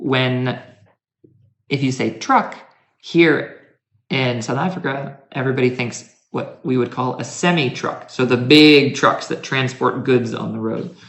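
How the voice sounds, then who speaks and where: In a room with audible echo, a man with an American accent speaks at a fairly slow pace. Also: medium pitch for a man, fairly even intonation. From United States. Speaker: university lecturer. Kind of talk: casual interview chat.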